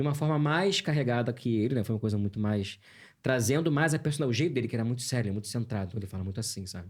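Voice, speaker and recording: Very fast and somewhat breathy, a man speaks with lively intonation. The recording is very clean, with a silent background. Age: 40s. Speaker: voice actor. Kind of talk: interview. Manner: animated.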